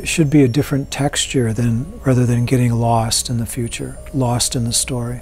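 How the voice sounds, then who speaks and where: A soft-spoken man in a calm, gentle tone, with hardly any pauses and music in the background. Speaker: meditation teacher. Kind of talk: guided meditation. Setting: live online meeting. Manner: calm, gentle and unhurried, with soft instructions and long pauses; soothing, inviting. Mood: calm, slow, soothing. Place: home room.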